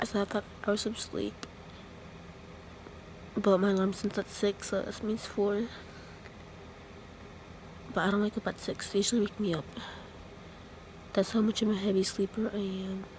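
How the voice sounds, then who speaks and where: A woman at a moderate pace, relaxed in tone, with monotone, flat intonation, long, frequent pauses, a dry sound with no echo and light background noise. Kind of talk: casual vlog chat. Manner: drowsy, relaxed talk lying down. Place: home room. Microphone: phone near.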